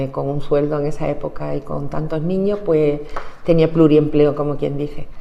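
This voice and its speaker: Noticeable background noise and audible room echo surround a woman speaking at a very deep, low pitch. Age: 60s. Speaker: trade unionist. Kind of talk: oral history interview.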